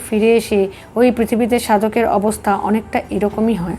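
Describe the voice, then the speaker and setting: Noticeable background noise is present. A woman talks at a fairly high pitch with fairly even intonation. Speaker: spiritual book reader. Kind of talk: audiobook reading of spiritual text.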